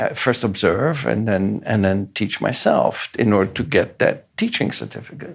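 Here a man is speaking. His voice has vocal fry. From Europe. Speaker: physics professor. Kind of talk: interview. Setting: conference venue.

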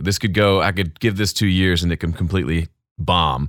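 Very clean recording with a silent background, a man in a Southern US accent at a very deep, low pitch and fairly quick pace. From US South, Mississippi. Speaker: YouTube audio creator and mix engineer. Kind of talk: interview conversation.

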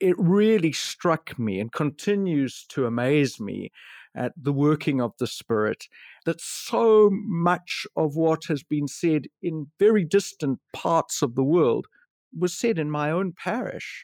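In a very clean recording with a silent background and a dry, close sound with no echo, the speech moves at a very slow pace with lively intonation. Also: man, fairly high pitch for a man. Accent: South African. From South Africa. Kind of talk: interview, casual conversation about preaching.

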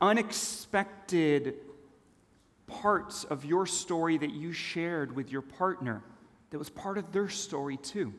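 With a Californian accent, a man speaks at a fairly slow pace in a high voice with lively intonation. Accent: American (Californian). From Switzerland, then Los Angeles from age nine. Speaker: storytelling speaker. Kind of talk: conference talk.

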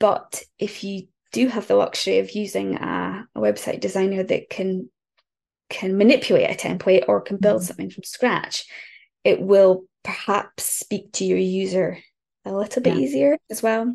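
In a northeast Scottish accent, a woman speaks at a moderate pace with big swings in loudness over a quiet background. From northeast Scotland, near Aberdeen. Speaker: copywriter. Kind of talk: casual chat.

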